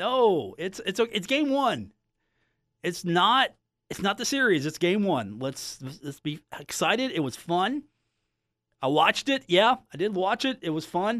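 On a very clean recording with a silent background, a man talks fairly slowly in a high voice, with very wide pitch swings and long, frequent pauses. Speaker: sports radio host. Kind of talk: radio sports talk show.

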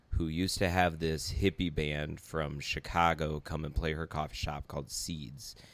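Very deep, low-pitched man with vocal fry and fairly even intonation, at a moderate pace with hardly any pauses, on a very clean recording with a silent background. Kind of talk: casual conversation.

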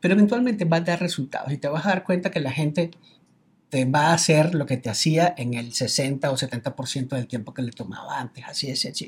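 A man with a Venezuelan accent, fairly high pitch, lively intonation, a somewhat breathy voice and a fairly quick pace. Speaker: business coach. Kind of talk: casual chat.

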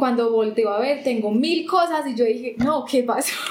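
With ordinary pitch variation, a woman talks at a moderate pace in a high voice. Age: 20s. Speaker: customs lawyer. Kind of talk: interview conversation.

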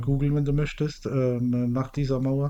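A man's dark, mellow voice at medium pitch, moderate in pace and fairly even in intonation. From Mannheim, southwestern Germany. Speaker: podcast co-host. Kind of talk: casual chat.

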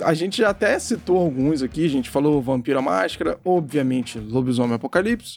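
Music in the background behind a man at fairly high pitch, with lively intonation at a fairly quick pace and hardly any pauses. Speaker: podcast host. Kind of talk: casual chat.

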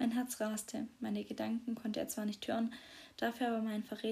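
This is plain reading aloud. It is delivered as plain reading aloud.

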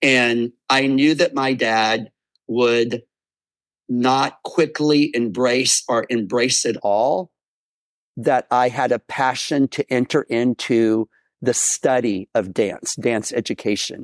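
Very slowly and with very even loudness, a man with an American accent speaks at medium pitch and fairly even intonation, on a very clean recording with a silent background and a dry, close sound with no echo. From Texas. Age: 60s. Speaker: professional dancer and dance company director. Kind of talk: interview testimony.

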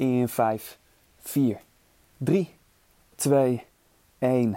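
A dark, mellow tone marks this man's medium-pitched voice. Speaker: fitness instructor. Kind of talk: guided outdoor bootcamp workout, coaching through timed exercises. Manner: energetic, upbeat, motivating; counts down crisply and gives short commands.

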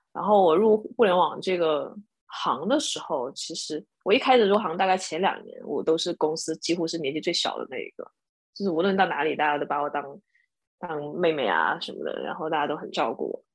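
With an ordinary speaking voice, a woman talks at a fairly quick pace and with ordinary pitch variation. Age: 30s. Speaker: former product manager and bar owner. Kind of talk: casual chat.

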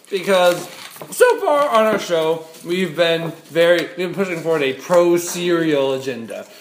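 Against noticeable background noise and audible room echo, a high-pitched man with an American accent speaks at a fairly slow pace, with ordinary pitch variation and big swings in loudness. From US East Coast. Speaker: podcast co-host. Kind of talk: casual chat. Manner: animated.

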